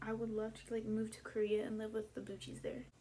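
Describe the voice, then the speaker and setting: A woman speaks at a moderate pace. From Texas. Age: 20s. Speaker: YouTuber. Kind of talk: casual vlog monologue. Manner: animated.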